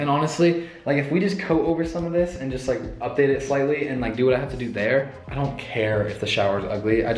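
A man with lively intonation, light background noise and audible room echo. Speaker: vlogger. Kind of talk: casual vlog chat. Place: empty room. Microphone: phone near.

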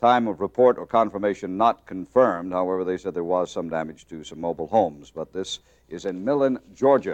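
With a plain, everyday voice, a man talks at a fairly quick pace in lively intonation over a quiet background. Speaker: TV presenter. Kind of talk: weather forecast commentary. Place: studio.

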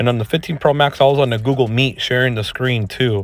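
The sound is dry with no echo as a man speaks fairly quickly with fairly even intonation. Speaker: tech channel host. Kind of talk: casual tech test commentary. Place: garage. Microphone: phone near.

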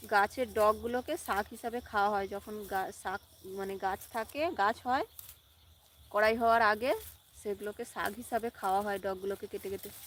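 Her intonation fairly even and her pitch fairly high, a woman talks in an unremarkable speaking voice. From West Bengal, Howrah district (rural, near Rupnarayan river). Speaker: cooking channel vlogger. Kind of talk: casual live stream chat with viewers. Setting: outdoors in a farm field.

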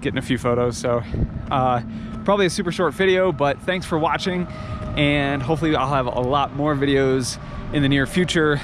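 A man at a moderate pace with ordinary pitch variation, dry and echo-free, noticeable background noise behind him. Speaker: travel vlogger. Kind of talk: casual vlog chat. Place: open country. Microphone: phone near.

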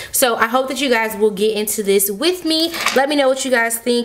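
A woman at a fairly quick pace with ordinary pitch variation. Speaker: budgeting channel host. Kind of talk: casual tutorial chat. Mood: excited, upbeat.

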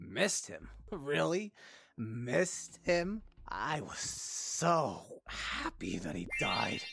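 Very slowly, a man puts on a cartoonish character voice at a fairly high pitch. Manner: mocking, contemptuous, smug; curt, commanding when silencing.

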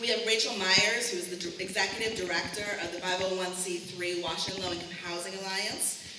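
A woman speaks with fairly even intonation amid audible room echo and noticeable background noise. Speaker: panel moderator. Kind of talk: event introduction. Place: hall. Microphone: camera far.

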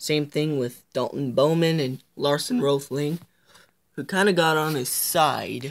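Upbeat in tone, the voice moves at a fairly slow pace on a very clean recording with a silent background. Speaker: video creator narrating race highlights. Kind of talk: recap narration of a racing game, race-call style. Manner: casual, amateur, and upbeat.

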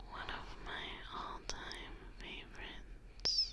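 A woman is whispering. Her words come out as a whisper throughout. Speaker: ASMR content creator. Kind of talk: ASMR video, soft spoken talk to camera. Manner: soft-spoken, soothing.

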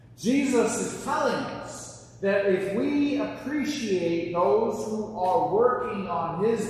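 Strong room echo and light background noise fill the recording. A man speaks at a very slow pace with very wide pitch swings. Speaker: preacher. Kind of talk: sermon. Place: church. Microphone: camera far.

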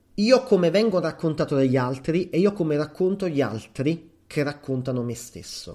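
With a dark, mellow tone, the voice moves at a fairly slow pace with lively intonation. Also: man. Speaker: psychologist and podcast host. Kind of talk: solo podcast monologue. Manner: hesitant, with fillers.

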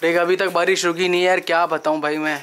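A man talks fast at a fairly high pitch with little pitch movement. His tone is clear, smooth and fairly bright.

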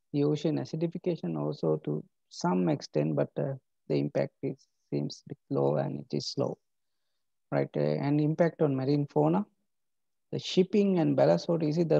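Against a quiet background, a man speaks at a moderate pace with long, frequent pauses in a dry sound with no echo. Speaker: university lecturer. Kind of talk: lecture. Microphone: webcam.

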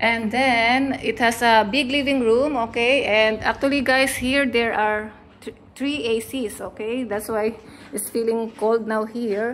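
Light background noise sits under a woman speaking fairly slowly at a fairly high pitch with fairly even intonation. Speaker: travel vlogger. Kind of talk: casual walk-through room tour vlog, pointing out each feature to camera. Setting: indoors, hotel room, handheld camera. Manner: chatty, run-on narration with frequent fillers like uh, okay, guys; self-correcting, mildly halting non-native phrasing. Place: home room. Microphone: phone near.

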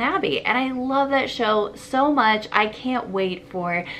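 A woman's voice at a fairly slow pace, with ordinary pitch variation and light background noise. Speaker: book vlogger. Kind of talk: casual vlog chat. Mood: excited, cheerful. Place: home room. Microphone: camera far.

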